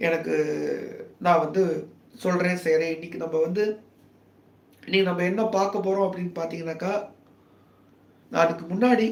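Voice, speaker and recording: A soft-spoken man talks at a high pitch with ordinary pitch variation. Noticeable background noise is present. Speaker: political commentator livestreamer. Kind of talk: casual live stream talk. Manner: soft-spoken, lowered voice; halting, many fillers.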